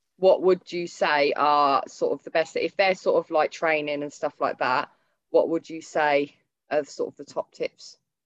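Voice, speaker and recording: With a Northamptonshire accent, a woman talks at a moderate pace, her loudness swinging widely, in a dry, close sound with no echo. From Northampton, England. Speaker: podcast host interviewing a trainer. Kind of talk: casual chat, interview. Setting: video call.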